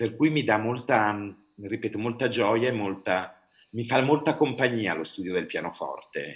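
A man with a medium pitch talks fairly slowly, his intonation lively. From Italy, Bergamo. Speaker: opera artistic director and director. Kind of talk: interview. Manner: hesitant, many fillers.

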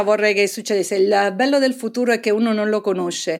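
Over a very clean recording with a silent background, a woman has a fairly high pitch, ordinary pitch variation, and an unremarkable speaking voice. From Naples, Italy. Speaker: hydrogeologist and professor. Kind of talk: interview.

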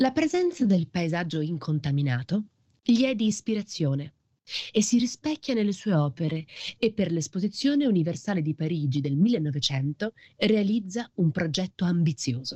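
A woman with a fairly low pitch and a dark, mellow tone speaks somewhat breathily at a moderate pace, with very wide pitch swings. The sound is dry and close, with no echo. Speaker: podcast narrator. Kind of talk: scripted narration.

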